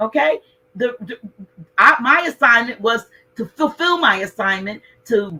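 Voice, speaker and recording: A woman's raised, projected voice. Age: 60s. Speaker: spiritual speaker. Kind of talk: spiritual talk to an online audience. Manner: conversational, with many restarts.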